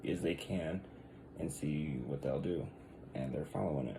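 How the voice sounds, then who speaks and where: A man talks at a moderate pace and at low volume. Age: 30s. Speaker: vlogger. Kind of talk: casual rant to camera. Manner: hesitant, many fillers; quiet.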